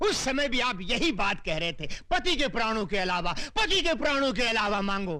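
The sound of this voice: This put-on character voice has a bright, sharp tone and big pitch swings at a moderate pace. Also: man, high pitch for a man.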